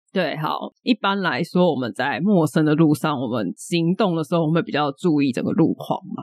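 With a Taiwanese accent, a woman talks at a moderate pace with hardly any pauses. Her voice sits fairly low and her intonation is lively. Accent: Taiwanese Mandarin. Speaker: podcast co-host. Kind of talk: casual chat.

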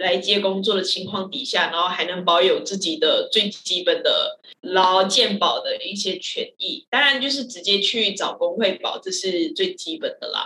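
A woman with a Malaysian accent at a moderate pace, with hardly any pauses. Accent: Malaysian-accented Mandarin. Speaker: theatre director. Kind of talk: casual chat.

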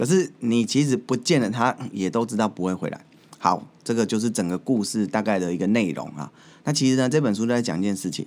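Lively intonation and an animated tone come through in a very clean recording with a silent background. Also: man, medium pitch for a man, fairly quick pace. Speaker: podcast host and corporate trainer. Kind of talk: solo podcast talk.

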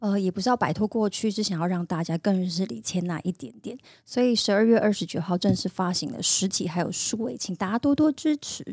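Talking at a fairly quick pace with hardly any pauses, a woman uses a medium pitch and lively intonation in a somewhat breathy voice, recorded dry and close with no echo. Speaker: singer and actress. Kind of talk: casual chat. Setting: studio.

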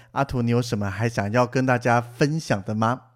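A man with a plain, everyday voice, medium pitch and a fairly quick pace. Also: very clean recording, silent background. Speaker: podcast host. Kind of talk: casual chat. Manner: playful, laughs often.

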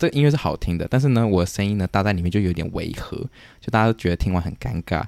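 The recording is dry and close with no echo as a man speaks very fast at a fairly low pitch. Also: lively intonation. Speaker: podcast host, student abroad. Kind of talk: casual chat.

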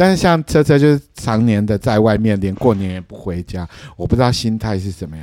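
A man's fairly low, dark, mellow voice at a fairly quick pace, with lively intonation and big swings in loudness. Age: 40s. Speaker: podcast co-host. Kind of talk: casual chat.

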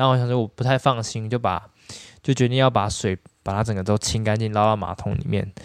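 Very fast and with fairly even intonation, a man with a fairly low voice speaks on a very clean recording with a silent background. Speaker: dentist. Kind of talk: casual chat.

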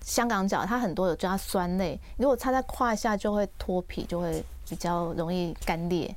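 With ordinary pitch variation and hardly any pauses, the delivery holds a moderate pace. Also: woman, medium pitch for a woman. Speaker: dermatologist and author. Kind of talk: radio interview. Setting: radio studio, also streamed live. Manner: gentle, soft-spoken.

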